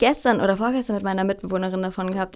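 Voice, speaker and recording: A woman is speaking. Her pitch is medium. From southern Germany, Freiburg. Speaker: musician and voice therapist. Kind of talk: casual chat. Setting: studio.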